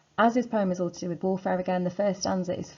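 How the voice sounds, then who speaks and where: A woman with a British accent, vocal fry and ordinary pitch variation. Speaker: secondary school English teacher. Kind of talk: revision lecture. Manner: fast; casual, filler-heavy.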